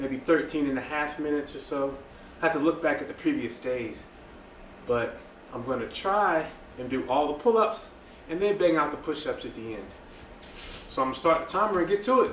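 A man's fairly quick, lively speech with big swings in loudness, audible room echo and light background noise. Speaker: fitness vlogger. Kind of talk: casual vlog chat. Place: garage. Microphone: camera far.

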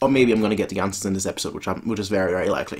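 There is a slightly husky edge to this man's voice, and his intonation is fairly even.

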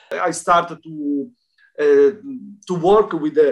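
Before a quiet background, a man with an Italian accent talks at a fairly high pitch with ordinary variation. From Italy. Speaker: dance federation representative. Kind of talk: interview testimony. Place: home room. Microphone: video call.

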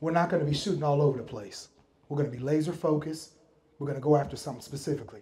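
A man with an American accent talks at a very fast pace with a fairly high pitch, a dark, mellow tone and ordinary pitch variation. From Miami, Florida. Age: 40s. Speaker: real estate investor. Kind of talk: talk at a meetup. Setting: stage with audience. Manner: animated.

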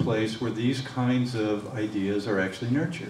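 Audible room echo and light background noise surround a man talking at a fairly quick pace with ordinary pitch variation. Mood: earnest, persuasive. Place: hall. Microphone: podium.

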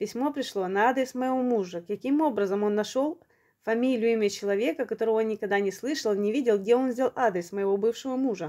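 A woman's fairly high voice with a dark, mellow tone and ordinary pitch variation, fairly quick in pace against a quiet background. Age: 40s. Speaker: video blogger. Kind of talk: personal testimony. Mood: earnest, aggrieved storytelling. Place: home room. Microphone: phone near.

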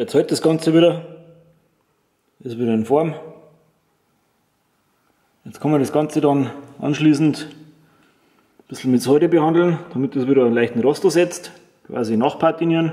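A man talks at a moderate pace with long, frequent pauses. His dark, mellow tone sits at a fairly high pitch, with ordinary pitch variation.

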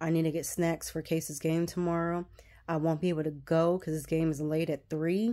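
A woman speaks at a moderate pace in a dark, mellow tone with monotone, flat intonation. The background is quiet. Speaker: vlogger. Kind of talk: casual vlog chat. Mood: a bit frustrated, planning day. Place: home room. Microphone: phone near.

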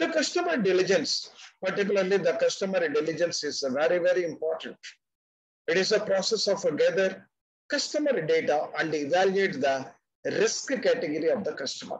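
Lively intonation at a fairly quick pace over a quiet background. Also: man, high pitch for a man. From India. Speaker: retired banker and finance expert; webinar presenter. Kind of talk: webinar presentation. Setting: video call. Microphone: webcam.

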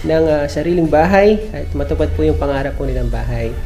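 Faint music sits in the background. A man talks over it at a fairly quick pace. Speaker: home builder vlogger. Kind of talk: casual vlog chat. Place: home room. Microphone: phone near.

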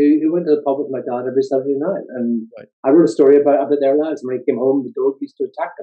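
Delivered at a very fast pace with a Northern Irish accent, the speech has hardly any pauses and fairly even intonation over a quiet background. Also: man, fairly high pitch for a man. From Northern Ireland. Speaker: psychology professor and author. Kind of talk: interview. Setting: video call. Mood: warm, smiling, reflective. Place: home room. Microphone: video call.

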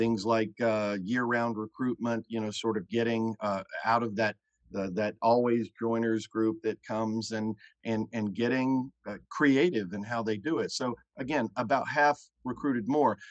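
Over a quiet background, a man talks at a fairly slow pace with fairly even intonation in a dry sound with no echo. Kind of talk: interview answer. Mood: candid, relaxed, some laughter. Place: home room. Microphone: video call.

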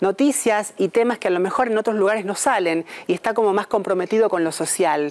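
In a normal speaking voice, the talker keeps a fairly quick pace and ordinary pitch variation. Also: woman. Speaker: TV news announcer, broadcaster. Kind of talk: interview answer about her new role.

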